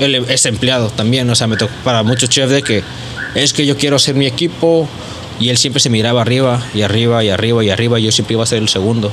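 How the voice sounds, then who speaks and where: Amid noticeable background noise and audible room echo, a man talks at a very fast pace and medium pitch, with very even loudness and fairly even intonation. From Tijuana, Mexico. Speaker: chef. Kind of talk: casual chat. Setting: studio with small live audience.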